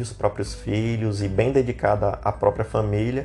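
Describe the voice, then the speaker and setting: At a moderate tempo, the man uses an ordinary speaking voice whose pitch varies in an ordinary way. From Brazil, Minas Gerais (Uberaba). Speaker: podcast co-host. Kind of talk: casual chat.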